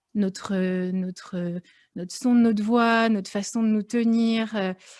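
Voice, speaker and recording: On a very clean recording with a silent background, a woman talks fairly slowly in a fairly high pitch with fairly even intonation. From France, Lyon. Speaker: fashion professional. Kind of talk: podcast interview. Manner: hesitant, many fillers.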